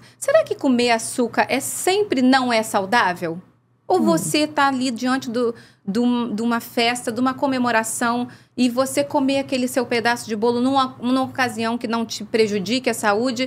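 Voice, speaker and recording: There is light background noise. A woman speaks with a high pitch. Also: ordinary pitch variation, moderate pace. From Rio de Janeiro state, Brazil. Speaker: doctor, intensive care and nutrition specialist. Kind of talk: casual interview chat. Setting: studio. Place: studio. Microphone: studio mic.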